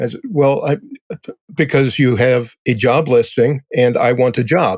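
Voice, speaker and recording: A plain, everyday voice at a fairly slow pace, with very even loudness and ordinary pitch variation. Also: man, medium pitch for a man. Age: 60s. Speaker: technical writer. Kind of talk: interview.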